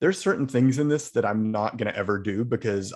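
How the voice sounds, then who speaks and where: Over a quiet background, a man with an unremarkable speaking voice talks at a moderate pace and medium pitch. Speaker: video editor presenting at user group. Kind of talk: software presentation at user group meeting. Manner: casual, filler-heavy.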